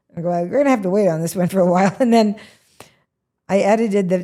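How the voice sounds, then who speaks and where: Ordinary pitch variation runs through a woman's medium-pitched voice. Her tone is dark and mellow. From Washington state, US Pacific Northwest. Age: 70s. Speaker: comedian. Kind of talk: interview.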